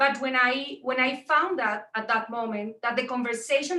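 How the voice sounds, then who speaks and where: Raising and projecting her voice, a woman with a strong Colombian accent speaks at a moderate pace with a high pitch, fairly even intonation, and a bright, sharp tone. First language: Spanish. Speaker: tech entrepreneur and mentor. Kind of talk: panel talk on video call. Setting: video call. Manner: halting with frequent fillers.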